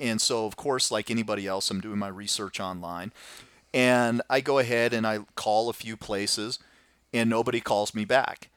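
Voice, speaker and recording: A man speaks in a plain, everyday voice at medium pitch. The recording is very clean, with a silent background. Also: fairly even intonation, moderate pace. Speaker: podcast host. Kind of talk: casual interview.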